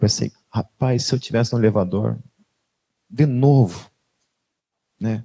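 A man speaks at a moderate pace in a dark, mellow tone. The sound is dry and close, with no echo. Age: 40s. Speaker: pastor. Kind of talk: sermon. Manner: conversational.

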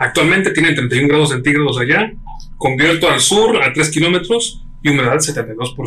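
A man with a Mexican accent speaks at a fairly high pitch with lively intonation. His loudness stays very even over noticeable background noise. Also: moderate pace. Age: 30s. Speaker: podcast co-host. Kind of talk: casual chat. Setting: home studio.

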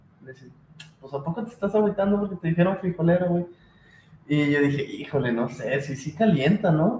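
With a Mexican accent, a man talks at a fairly quick pace in a high voice, his intonation lively and his loudness swinging widely. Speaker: podcast co-host. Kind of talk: casual chat.

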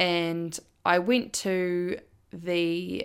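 A woman speaks with fairly even intonation on a very clean recording with a silent background. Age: 20s. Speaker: podcast host and university student. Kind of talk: solo podcast monologue. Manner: hesitant with fillers.

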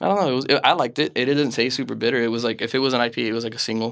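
A very fast man's voice at medium pitch with ordinary pitch variation, on a very clean recording with a silent background. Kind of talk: casual chat.

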